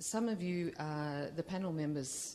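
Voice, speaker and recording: A woman speaks with a dark, mellow tone and fairly even intonation. Her pace is moderate. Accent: Australian. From Australia. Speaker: audience member, entrepreneur. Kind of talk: audience question. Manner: hesitant, many fillers.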